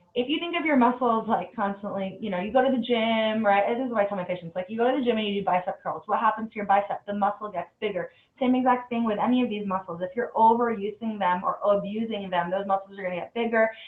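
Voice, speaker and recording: This woman talks very fast, with hardly any pauses. Her pitch is fairly high and its variation is ordinary. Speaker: dentist. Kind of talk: webinar lecture. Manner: casual, many fillers.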